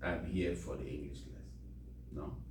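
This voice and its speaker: A man talks with a British accent. Noticeable background noise and audible room echo surround his voice. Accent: British-leaning English. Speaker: volunteer English teacher. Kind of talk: language class. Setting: library classroom. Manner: code-switching English and Spanish.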